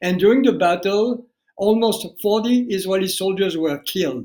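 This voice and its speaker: This man's voice sits high in pitch, and its pitch varies in an ordinary way. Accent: French. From France (family fled Algeria). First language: French. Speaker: documentary filmmaker. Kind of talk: interview. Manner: halting, repeats words.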